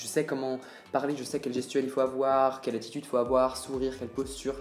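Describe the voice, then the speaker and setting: A man's medium-pitched voice at a very fast pace. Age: 20s. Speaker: medical student. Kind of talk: vlog advice talk. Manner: casual, slangy.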